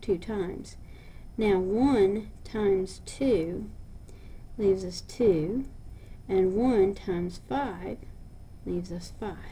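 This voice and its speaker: Audible room echo surrounds a woman whose somewhat breathy, dark, mellow tone shows ordinary pitch variation. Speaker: math teacher. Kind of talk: lecture.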